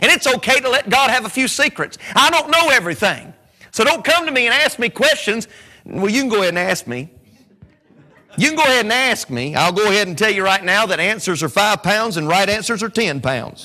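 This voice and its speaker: A man with a Southern US accent speaks in a raised, projected voice at high pitch. His pitch swings very widely over noticeable background noise. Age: 40s. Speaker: preacher. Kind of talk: sermon. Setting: church. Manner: animated.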